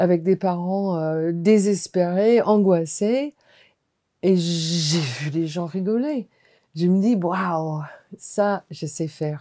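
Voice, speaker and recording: A woman's very slow, fairly low-pitched speech in an American accent, dark and mellow in tone, with ordinary pitch variation. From US, Washington. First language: English (speaking French). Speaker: hospital clown and performer. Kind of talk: testimony.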